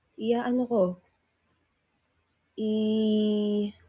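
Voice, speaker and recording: On a very clean recording with a silent background, a woman speaks in a fairly high, somewhat breathy voice. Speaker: livestreamer, singer in a group. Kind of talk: casual livestream chat.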